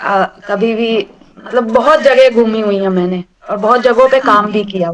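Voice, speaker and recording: Speaking at a moderate pace with a slight South Indian accent, a woman has a fairly high pitch and ordinary pitch variation. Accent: slight South Indian accent in Hindi. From South India, Andhra Pradesh. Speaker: retired banker, Sanskrit course student. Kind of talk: casual self-introduction in online class. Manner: halting, with fillers.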